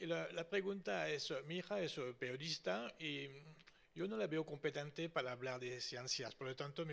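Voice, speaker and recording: Speaking at a moderate pace, a man with a fairly high pitch shows vocal fry. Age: 70s. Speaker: audience member. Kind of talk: audience question.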